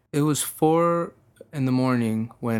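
A man speaks in an ordinary speaking voice with an American accent. His pitch varies in an ordinary way. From Texas. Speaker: musician. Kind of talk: interview. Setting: studio.

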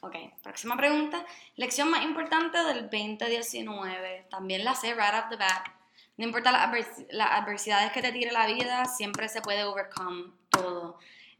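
A woman with a fairly high voice speaks at a moderate pace with lively intonation, over noticeable background noise and audible room echo. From Puerto Rico. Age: 20s. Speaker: podcast co-host, special education graduate. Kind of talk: casual chat.

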